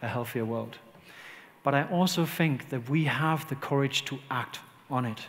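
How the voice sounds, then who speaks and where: A man's fairly high voice at a fairly slow pace, with ordinary pitch variation and audible room echo. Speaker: leadership consultant. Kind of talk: conference talk.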